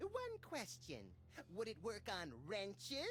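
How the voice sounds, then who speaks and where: A put-on character voice with fairly high pitch moves at a fairly slow pace. There is clear background noise behind it. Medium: video game. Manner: deadpan, impulsive, irreverent.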